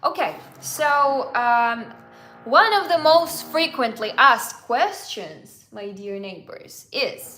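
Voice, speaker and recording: A woman's raised, projected voice in a Russian accent, high-pitched with very wide pitch swings, big swings in loudness and a very slow pace, in audible room echo. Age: 20s. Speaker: travel vlogger. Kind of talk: live Q&A. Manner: halting.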